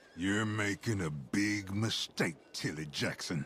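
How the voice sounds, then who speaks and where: A man growls in a put-on character voice at a fairly low pitch, fairly slowly, with ordinary pitch variation and clear background noise. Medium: video game. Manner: menacing.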